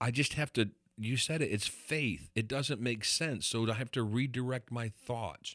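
An ordinary speaking voice from a man on a very clean recording with a silent background. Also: medium pitch for a man, ordinary pitch variation, moderate pace. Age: 50s. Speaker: pastor and podcast host. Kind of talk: casual chat.

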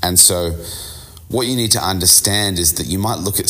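A man at a moderate pace with ordinary pitch variation, amid noticeable background noise. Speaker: business coach podcast host. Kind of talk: solo business podcast monologue.

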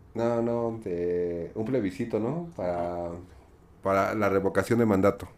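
This is a normal speaking voice from a man. He has a fairly low pitch, ordinary pitch variation and a fairly slow pace. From Mexico. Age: 40s. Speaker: podcast guest. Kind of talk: casual chat.

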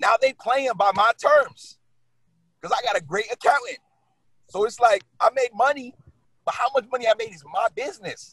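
In a New York accent, a man speaks at a moderate pace and an extremely high pitch, with lively intonation, big swings in loudness and long, frequent pauses. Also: dry, close sound with no echo. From New York City (Brooklyn). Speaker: real estate agent. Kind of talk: casual interview.

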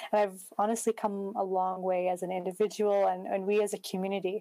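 Spoken at a moderate pace with a Canadian accent, the voice stays monotone and flat, on a very clean recording with a silent background. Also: woman. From Canada, Prince George, British Columbia. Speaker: social activist. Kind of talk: interview conversation.

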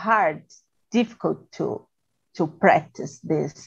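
A woman speaks very slowly with a Brazilian Portuguese accent. Her pitch is medium. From Brazil, Sao Paulo. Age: 40s. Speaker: procurement manager. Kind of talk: casual English practice conversation. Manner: halting, many fillers.

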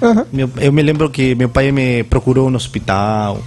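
A man talks with a Spanish accent. His intonation is fairly even. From Peru, Lima. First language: Spanish (speaking Portuguese). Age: 40s. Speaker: Spanish teacher, former air force sergeant. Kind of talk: radio interview. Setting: radio studio. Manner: halting, mixing Spanish and Portuguese.

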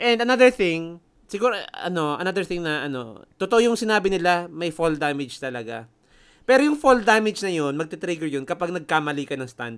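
The voice moves at a fairly quick pace with very wide pitch swings. The recording is very clean, with a silent background. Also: man, high pitch for a man. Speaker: gaming podcast co-host. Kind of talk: casual chat.

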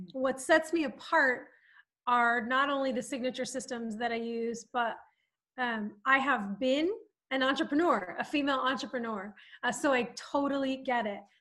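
Against a quiet background, a woman with an American accent speaks at a high pitch in a bright, sharp tone, with ordinary pitch variation and a moderate pace. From Southern California. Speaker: life coach. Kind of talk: podcast interview. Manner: animated.

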